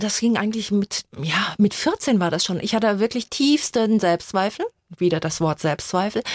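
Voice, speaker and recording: At a moderate pace, an unremarkable speaking voice with lively intonation comes through in a dry, close sound with no echo. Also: woman, medium pitch for a woman. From Germany, Mainz. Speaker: coach and author. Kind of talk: radio interview.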